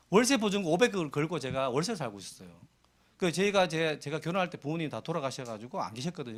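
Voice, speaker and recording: With vocal fry and very wide pitch swings, a man talks very fast at a fairly high pitch. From provincial South Korea. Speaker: network marketing business leader. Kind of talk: motivational seminar speech. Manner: conversational, anecdotal.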